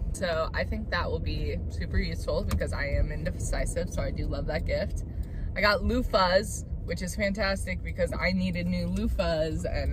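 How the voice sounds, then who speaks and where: A woman's voice at a moderate pace, dry with no echo, over noticeable background noise. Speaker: college student vlogger. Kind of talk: casual vlog chat. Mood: chatty, self-mocking. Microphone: phone near.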